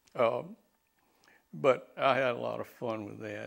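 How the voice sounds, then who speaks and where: A man with an Alabama accent at a very slow pace, against a quiet background. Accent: Southern US (Alabama). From US South, Alabama. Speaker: retired bankruptcy judge. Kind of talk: elder life story, 2005 oral history interview recalling courtroom days. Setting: interview in his home. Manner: halting, with repeated words and filler uhs; unhurried, genial storytelling with chuckles. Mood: warm, amused. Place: home room. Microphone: lapel.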